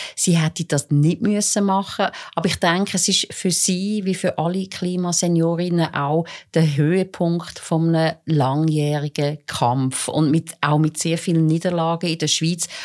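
A woman's normal speaking voice, fairly low in pitch, with fairly even intonation, very even loudness and a moderate pace, on a very clean recording with a silent background. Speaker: court reporter. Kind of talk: casual interview. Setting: studio.

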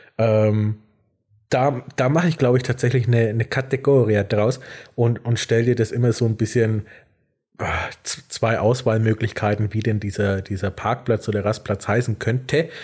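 On a very clean recording with a silent background, a man speaks at a moderate pace. His voice is somewhat breathy, very even in loudness, with fairly even intonation. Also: medium pitch for a man. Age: 20s. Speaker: podcast co-host. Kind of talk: casual chat. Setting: evening recording. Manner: hesitant, many fillers.

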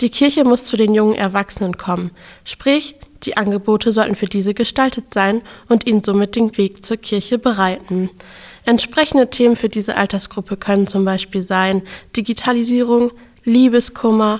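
A woman's unremarkable speaking voice, fairly high in pitch, at a moderate pace with fairly even intonation. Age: 20s. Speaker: theology student, podcast host. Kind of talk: scripted narration.

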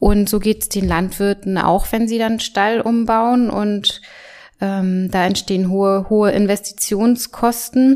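This woman has a medium pitch and fairly even intonation. She speaks at a very slow pace. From Mecklenburg, northern Germany. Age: 30s. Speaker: farmers' association manager. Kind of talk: interview. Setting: office. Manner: halting.

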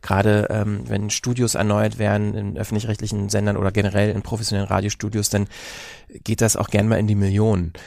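A man talks at a very fast pace in a fairly low pitch, his intonation flat and monotone. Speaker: podcast host. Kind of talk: casual chat. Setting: studio.

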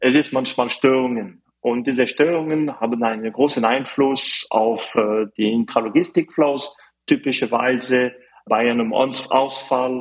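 Here a man speaks at a medium pitch and a fairly slow pace. His intonation stays fairly even. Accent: French. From French-speaking Switzerland, Fribourg. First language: French (speaking German). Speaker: mechanical engineer, startup representative. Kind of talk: interview. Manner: halting, many fillers.

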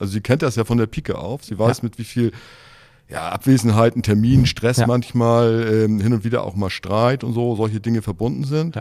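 A man's mid-range voice moves fairly quickly, its pitch rising and falling normally. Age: 60s. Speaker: mayoral candidate. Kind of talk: interview. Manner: hesitant, many fillers.

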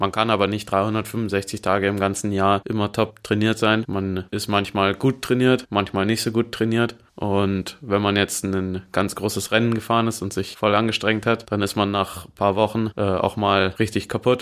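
A man with a fairly low voice speaks at a moderate pace in a flat monotone, hardly pausing, on a very clean recording with a silent background. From Bavaria, Munich. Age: 20s. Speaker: professional road cyclist. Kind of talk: interview. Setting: studio.

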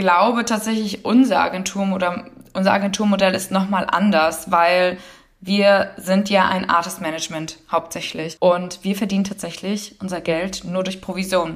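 A woman's medium-pitched voice at a moderate pace, flat and monotone, over noticeable background noise. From northern Germany. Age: 20s. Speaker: agency founder. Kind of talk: interview. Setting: remote recording.

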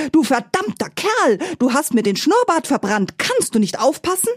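A woman shouts in a put-on character voice at a high pitch. Her pitch swings very widely. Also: moderate pace. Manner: furious, shouting.

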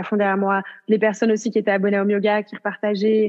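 Her pitch is medium for a woman. She delivers everything in a flat monotone. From rural France. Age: 20s. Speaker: yoga entrepreneur, online yoga platform founder. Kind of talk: casual interview.

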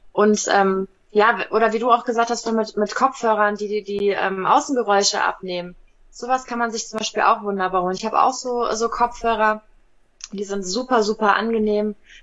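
A woman's normal speaking voice, fairly high in pitch, at a moderate pace with fairly even intonation. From Hesse, Germany (Wiesbaden). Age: 30s. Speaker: animal physiotherapist, reality TV contestant. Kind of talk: interview.

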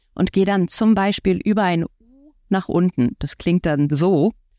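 A woman speaks at a fairly slow pace in a dark, mellow tone, with a dry, close sound and no echo. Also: very clean recording, silent background. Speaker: voice coach and author. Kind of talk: interview. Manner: animated.

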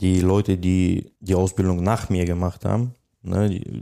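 A man speaks in a very deep, low pitch with a dark, mellow tone and monotone, flat intonation. His pace is fairly slow, and the recording is very clean with a silent background. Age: 30s. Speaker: machine operator retraining as technician. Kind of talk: interview. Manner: hesitant, many fillers.

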